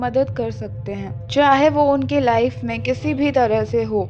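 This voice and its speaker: Her intonation fairly even, a woman talks while noticeable background noise carries on. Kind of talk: horror story narration.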